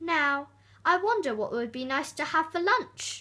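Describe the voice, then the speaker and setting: Using a put-on character voice, a woman speaks at an extremely high pitch with very wide pitch swings and a moderate pace, in a very clean recording with a silent background. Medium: read story. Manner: greedy, curious.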